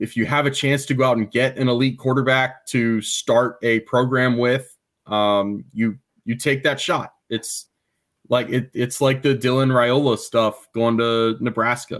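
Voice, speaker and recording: At a fairly slow pace, a man speaks at a medium pitch with monotone, flat intonation and very even loudness. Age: 30s. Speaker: sports journalist. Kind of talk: casual chat.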